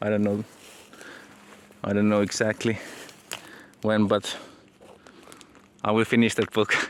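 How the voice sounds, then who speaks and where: A man's fairly low, monotone, flat voice with a Finnish accent, at a moderate pace with long, frequent pauses and very even loudness. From Finland. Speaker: aspiring entrepreneur and author, vlogger. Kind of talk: casual vlog monologue. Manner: halting, many repetitions.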